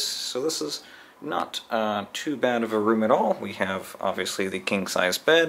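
A man's fairly slow speech with very wide pitch swings. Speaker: travel vlogger. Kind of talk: casual room tour narration. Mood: light, joking. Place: home room. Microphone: phone near.

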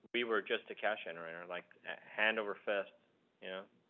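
This man has a fairly low pitch. He speaks with an American accent. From Southern California. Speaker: tech company marketing executive; guest. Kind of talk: panel interview. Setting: alumni center room with conference phone. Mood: relaxed, conversational. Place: meeting room.

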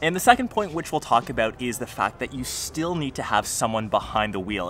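Light background noise sits under a man speaking at a moderate pace in a dry sound with no echo. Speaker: tech vlogger. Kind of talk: casual vlog chat. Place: street.

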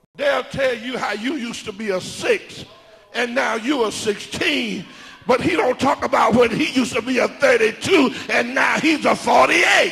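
A man with an extremely high pitch speaks in an animated tone at a fairly slow pace. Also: ordinary pitch variation. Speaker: preacher. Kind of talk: sermon. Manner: animated, emphatic, preaching cadence. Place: church. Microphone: handheld.

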